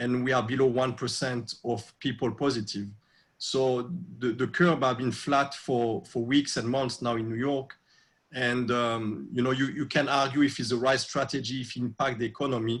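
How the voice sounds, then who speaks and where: A man with a French accent at a medium pitch, with fairly even intonation and a moderate pace, in a very clean recording with a silent background. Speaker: restaurateur. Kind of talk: interview. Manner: halting with many fillers.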